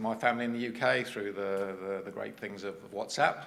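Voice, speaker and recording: Speaking at a very fast pace with a southern English accent, a man shows ordinary pitch variation amid audible room echo. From England, Cambridge. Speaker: transport agency executive, conference speaker. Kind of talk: conference presentation. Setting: stage with audience.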